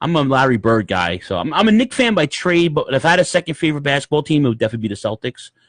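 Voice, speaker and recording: A man's fairly high voice at a very fast pace, with very wide pitch swings, hardly any pauses, and a dry, close sound with no echo. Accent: New York. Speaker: podcast host. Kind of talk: casual chat. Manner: animated.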